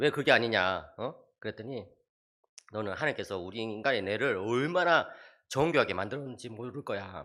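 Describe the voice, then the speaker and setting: A man speaks at a moderate pace and a medium pitch, his bright, sharp tone and lively intonation marked by big swings in loudness, on a very clean recording with a silent background. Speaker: theology professor. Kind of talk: church seminar lecture. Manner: animated.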